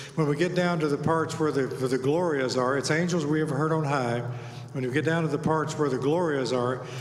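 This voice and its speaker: A man with a fairly high pitch speaks at very even loudness and with fairly even intonation. Audible room echo is present. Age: 70s. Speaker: tuba ensemble leader. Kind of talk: event emcee talk. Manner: halting.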